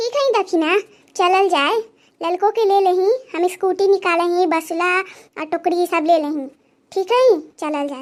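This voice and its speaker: Doing a cartoonish character voice, a woman speaks in an extremely high pitch at a moderate pace. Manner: bossy, rustic dialect.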